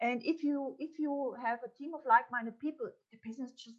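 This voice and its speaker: A woman with a German accent at a moderate pace. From Upper Austria. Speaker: entrepreneur and business mentor. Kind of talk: interview. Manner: animated.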